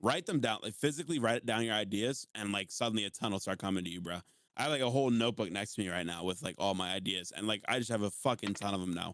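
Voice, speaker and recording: A man with an American accent, fairly low in pitch, at a very fast pace. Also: ordinary pitch variation. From US, West Virginia. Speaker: TikTok creator and streamer. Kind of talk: casual chat.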